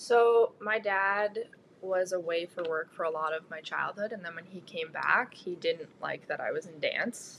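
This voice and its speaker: A woman with an unremarkable speaking voice and a medium pitch talks at a fairly slow pace, showing ordinary pitch variation and big swings in loudness. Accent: Canadian. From Ontario, Canada (Georgina). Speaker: university athlete. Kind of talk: interview answers.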